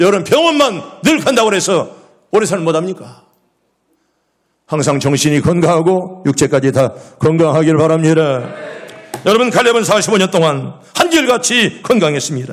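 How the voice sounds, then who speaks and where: With audible room echo, a man speaks at a high pitch and moderate pace, his intonation lively and loudness very even, taking long, frequent pauses. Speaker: pastor. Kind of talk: sermon. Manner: animated.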